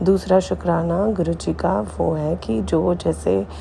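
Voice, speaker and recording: A woman speaks over noticeable background noise. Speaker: spiritual devotee sharing satsang. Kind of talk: devotional testimony. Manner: halting with fillers.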